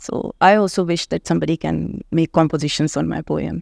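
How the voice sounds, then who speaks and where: A woman with an Indian accent is heard in a very clean recording, its background silent and its sound dry and close with no echo. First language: Hindi. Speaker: author and English professor. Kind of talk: interview.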